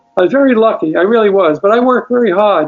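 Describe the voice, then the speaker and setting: Over music in the background, a man with a New York accent talks at a high pitch and a fairly quick pace with ordinary pitch variation. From New York City, Brooklyn. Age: 80s+. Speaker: retired television news film editor. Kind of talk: interview, life story.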